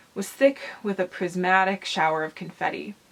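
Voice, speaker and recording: With noticeable background noise behind her, a woman speaks at a moderate pace and a medium pitch. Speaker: transmasculine vlogger. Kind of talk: reading aloud; casual vlog talk. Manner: halting, with fillers and self-corrections.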